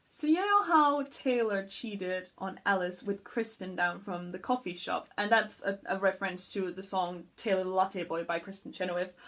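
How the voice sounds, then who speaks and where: At a moderate pace and with hardly any pauses, a woman with a medium pitch and ordinary pitch variation speaks over noticeable background noise. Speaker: voice actress. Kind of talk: casual talk to camera, creator commentary.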